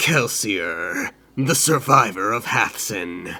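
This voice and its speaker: A man puts on a raspy character voice at medium pitch. He speaks at a very slow pace. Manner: menacing.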